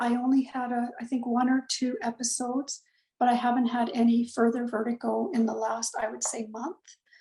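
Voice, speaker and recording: Her high voice moves at a moderate pace, and this woman keeps her intonation fairly even. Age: 60s. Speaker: client giving a testimonial. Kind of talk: testimony. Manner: halting, many fillers.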